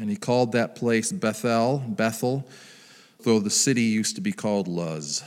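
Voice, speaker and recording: A man speaks in an unremarkable speaking voice at a medium pitch. His pace is moderate and his intonation lively. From US Midwest. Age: 60s. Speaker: pastor. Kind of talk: sermon.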